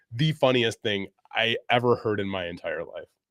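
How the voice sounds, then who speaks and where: A man with a medium pitch speaks at a moderate pace with lively intonation. The sound is dry and close with no echo, on a very clean recording with a silent background. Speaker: IT career advice streamer. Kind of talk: live stream Q&A. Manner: casual, halting with fillers.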